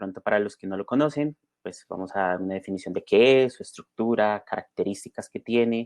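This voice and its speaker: A man's medium-pitched voice with a slight Bogotá accent, fairly quick pace and ordinary pitch variation, in dry, close sound with no echo. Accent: slight Bogotá (rolo). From Colombia, Bogotá. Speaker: software developer and conference speaker. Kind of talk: conference talk. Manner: many filler sounds and repetitions.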